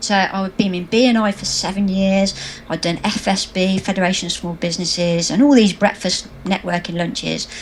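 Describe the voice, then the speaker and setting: There is noticeable background noise behind the recording. A woman with a British accent speaks with fairly even intonation. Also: medium pitch for a woman, moderate pace. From England. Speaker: social media marketing trainer. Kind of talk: interview.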